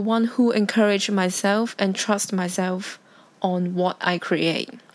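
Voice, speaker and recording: A woman with a non-native accent speaks very slowly. Her medium pitch stays fairly even. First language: Cantonese. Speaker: podcaster. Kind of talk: casual solo talk.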